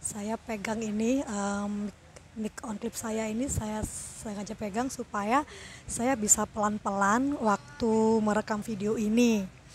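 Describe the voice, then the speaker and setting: Soft-spoken delivery at a very slow pace, fairly even intonation. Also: woman. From Indonesia, Surabaya (East Java). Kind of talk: personal testimony. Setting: outdoors at a roadside food court. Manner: soft-spoken, talking quietly.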